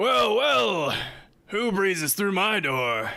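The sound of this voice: Put-on character voice from a man, high in pitch, very slow, with very wide pitch swings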